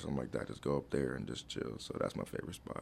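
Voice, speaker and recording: A man with an American accent speaks at a very fast pace in a very deep, low pitch. Noticeable background noise can be heard. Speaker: college student athlete. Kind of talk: casual chat. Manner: relaxed, filler-heavy.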